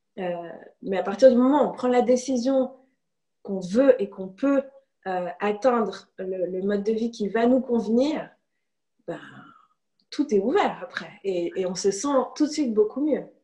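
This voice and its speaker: A woman's lively intonation, broken by long, frequent pauses. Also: fairly slow pace. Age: 30s. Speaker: illustrator. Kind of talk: interview.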